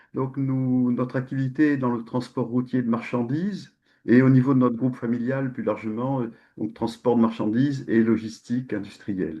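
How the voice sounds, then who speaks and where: A man speaks at medium pitch and a moderate pace with ordinary pitch variation. It is an unremarkable speaking voice. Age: 60s. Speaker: company president. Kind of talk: interview.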